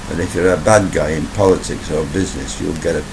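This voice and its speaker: Speaking fairly quickly with a British accent, a man shows ordinary pitch variation over noticeable background noise and audible room echo. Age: 60s. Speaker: YouTuber giving commentary. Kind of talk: monologue commentary video. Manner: casual, conversational.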